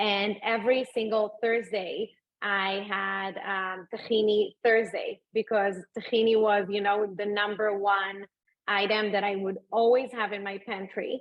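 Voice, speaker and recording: A woman speaks in an Israeli accent at a fairly slow pace. Her intonation is monotone and flat. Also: medium pitch for a woman. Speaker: food entrepreneur and mom. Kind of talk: interview. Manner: hesitant, many fillers.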